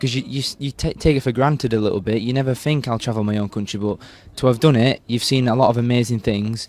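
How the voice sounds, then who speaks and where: A man talks at a very fast pace. He speaks in a Yorkshire accent. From Yorkshire, northern England. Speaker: Olympic torchbearer, university student. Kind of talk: interview. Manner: animated.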